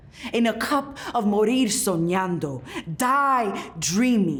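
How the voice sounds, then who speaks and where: At a very slow pace, a woman speaks with a fairly high pitch and very wide pitch swings amid noticeable background noise. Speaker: poet and author. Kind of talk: spoken word poetry performance.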